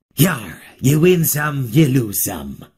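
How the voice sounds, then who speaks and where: The voice is a raspy, put-on character voice. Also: man, medium pitch for a man. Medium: video game. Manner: gruff, growling.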